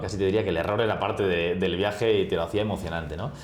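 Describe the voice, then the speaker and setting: A man's very deep, low voice at a very fast pace, with ordinary pitch variation, audible room echo and noticeable background noise. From Spain, Barcelona. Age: 40s. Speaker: travel agency executive. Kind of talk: interview.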